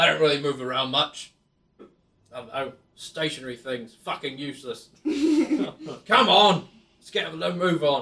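A man puts on a gruff character voice at a fairly high pitch and a moderate pace. Long pauses come often. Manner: brusque, impatient, dismissive.

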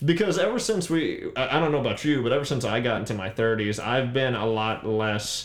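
Against noticeable background noise and audible room echo, a man talks at a moderate pace with ordinary pitch variation. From Louisiana (New Iberia). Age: 30s. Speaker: musician. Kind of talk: casual chat.

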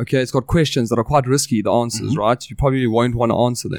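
With a South African accent, a man talks at a very fast pace, his medium pitch showing ordinary variation. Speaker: podcast host. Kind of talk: casual chat. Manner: animated.

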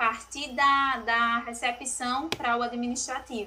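A woman's raised, projected voice. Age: 20s. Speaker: real estate office strategy manager. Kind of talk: podcast interview.

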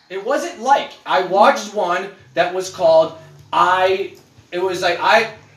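A man's animated, high-pitched voice at a fairly slow pace, with noticeable background noise. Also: ordinary pitch variation. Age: 30s. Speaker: podcast host. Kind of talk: casual chat.

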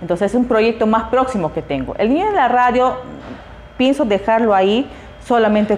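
The speech moves at a fairly quick pace. There is noticeable background noise. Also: woman. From Peruvian Amazon, Iquitos. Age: 30s. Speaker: preschool teacher and activist. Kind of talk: interview.

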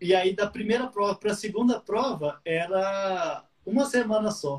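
The man's voice is pitched high. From Minas Gerais, Brazil (Patos de Minas). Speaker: guitar teacher. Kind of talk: casual interview.

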